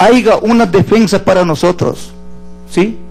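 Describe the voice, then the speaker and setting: Music plays in the background. A man speaks in a high pitch with ordinary pitch variation. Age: 70s. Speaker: witness at a court hearing. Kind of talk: court testimony. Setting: courtroom hearing. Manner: calm, measured.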